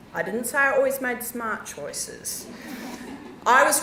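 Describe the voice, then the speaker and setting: A woman speaks at a moderate pace with a New Zealand accent, her voice carrying audible room echo over noticeable background noise. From New Zealand, South Island. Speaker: geologist. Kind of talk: conference talk. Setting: stage with audience. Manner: animated.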